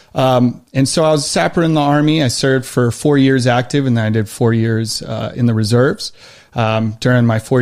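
At a fairly quick pace, the speaker uses a plain, everyday voice with an American accent. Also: man. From Western New York. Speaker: army veteran and knife maker. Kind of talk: casual interview.

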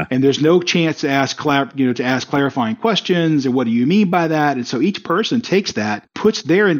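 This man has a slight Southern US accent and a fairly high pitch. He talks at a fairly quick pace with lively intonation. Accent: barely noticeable Southern. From US South, South Carolina. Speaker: company CEO, project management expert. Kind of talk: interview. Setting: call. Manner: fast.

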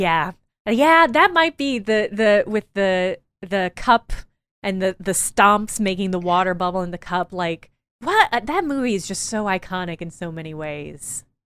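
A woman with an American accent talks at a moderate pace and medium pitch in an ordinary speaking voice. The recording is very clean and silent in the background, with a dry, close sound and no echo. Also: lively intonation. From Illinois. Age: 30s. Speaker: video essayist. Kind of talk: casual interview.

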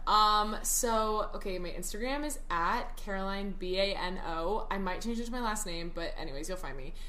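There's noticeable background noise as a woman with an American accent speaks at a moderate pace in a fairly high pitch. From Texas, Dallas. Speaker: TikTok creator. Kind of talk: casual chat. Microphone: poor audio quality.

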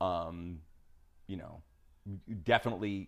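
A man with an American accent, recorded very cleanly against a silent background. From New York. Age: 50s. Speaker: documentary filmmaker. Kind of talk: casual interview conversation. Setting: in person at host's home.

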